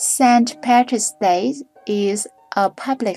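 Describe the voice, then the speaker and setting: Very slow speech from a woman with a Vietnamese accent and a dark, mellow tone, on a very clean recording with a silent background. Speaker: drawing tutorial creator. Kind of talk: reading aloud; tutorial. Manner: halting.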